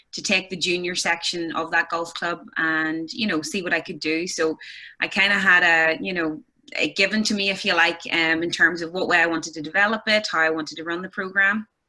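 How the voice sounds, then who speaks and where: A woman's bright, sharp, fairly low voice with a Northern Irish accent, fairly even intonation and a fairly quick pace. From Northern Ireland, County Armagh. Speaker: golf instructor. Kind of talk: casual chat. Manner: hesitant, many fillers.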